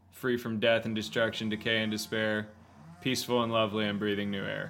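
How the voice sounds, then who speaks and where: Audible room echo surrounds a man with an American accent. His tone is bright and sharp, his pitch fairly low, and his intonation monotone and flat. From Texas (Houston). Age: 30s. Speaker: country singer-songwriter. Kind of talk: casual interview chat.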